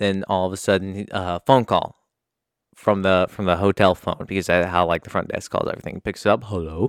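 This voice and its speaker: A man's fairly low voice, dry and close with no echo, in a very clean recording over a silent background. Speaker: podcast host. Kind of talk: solo monologue. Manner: fast; poor articulation.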